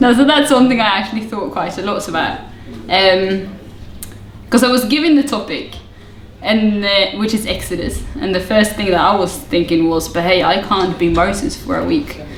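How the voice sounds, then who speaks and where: With lively intonation, a woman talks at a moderate pace in a medium pitch, with audible room echo and noticeable background noise. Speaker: youth pastor. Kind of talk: interview.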